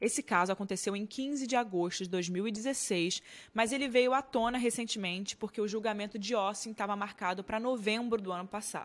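The speaker has a Brazilian accent and talks at a fairly quick pace with hardly any pauses, in a very clean recording with a silent background. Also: woman, fairly high pitch for a woman, ordinary pitch variation. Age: 20s. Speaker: true crime podcast host. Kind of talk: true crime storytelling narration. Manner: conversational, chatty asides.

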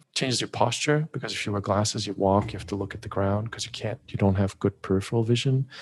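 Against a quiet background, a man with a fairly low pitch and a somewhat breathy voice talks at a very fast pace with hardly any pauses and fairly even intonation. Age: 40s. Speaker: vision improvement educator. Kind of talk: interview.

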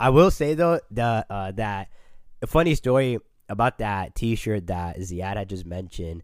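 Speaking at a fairly slow pace with lively intonation, an unremarkable speaking voice comes through on a very clean recording with a silent background. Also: man, fairly low pitch for a man. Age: 20s. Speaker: nursing graduate and clothing brand co-founder. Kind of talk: casual interview chat.

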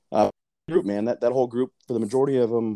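A man with a Texan accent and a dark, mellow tone speaks at a fairly quick pace with fairly even intonation, the sound dry and close with no echo. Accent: Texan American English. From Texas, south side of San Antonio. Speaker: youth softball coach. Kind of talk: casual chat.

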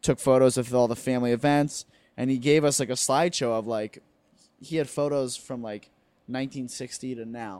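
A man with a plain, everyday voice and an American accent talks at a moderate pace in a medium pitch with fairly even intonation. The recording is very clean, with a silent background. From New Jersey, near New York City. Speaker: stand-up comedian. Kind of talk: casual chat. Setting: home couch.

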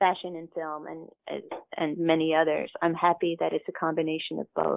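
A woman speaks in a plain, everyday voice. It is fairly low-pitched and fairly slow. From Kentucky, US. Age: 50s. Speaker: costume designer. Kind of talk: interview.

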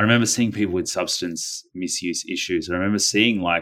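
A man with an Australian accent at a very fast pace, fairly even intonation, and a very clean recording with a silent background. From Australia, Melbourne suburbs. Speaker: anti-violence campaigner and author. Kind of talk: casual interview conversation.

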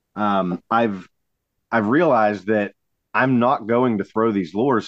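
A man with an American accent talks at a moderate pace and medium pitch. He has a plain, everyday voice. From Pennsylvania, Allegheny River area. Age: 30s. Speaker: kayak fishing tournament director. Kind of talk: casual chat.

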